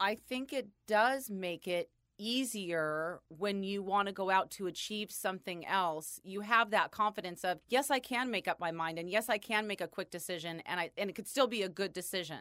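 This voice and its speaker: A woman with an American accent speaks at medium pitch in a bright, sharp tone, with ordinary pitch variation. Her moderate pace has hardly any pauses, and the recording is very clean with a silent background. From California. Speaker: photographer. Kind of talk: casual chat.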